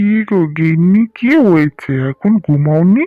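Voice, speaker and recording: A man does a cartoonish character voice at a high pitch, moving at a fairly slow pace with lively intonation. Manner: soft, comforting.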